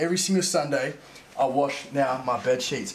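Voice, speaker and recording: An energetic-sounding man is heard amid noticeable background noise and audible room echo. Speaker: vlogger. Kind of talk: casual vlog. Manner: fast, energetic.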